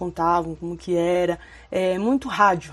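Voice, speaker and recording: Over a quiet background, a woman talks in a normal speaking voice. Her pitch is medium and her pace moderate. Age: 30s. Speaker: YouTuber. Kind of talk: casual vlog monologue.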